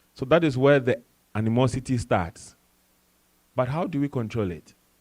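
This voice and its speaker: With an African accent, a man talks at a moderate pace in a medium pitch, his intonation lively. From Ghana, West Africa. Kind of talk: panel discussion talk.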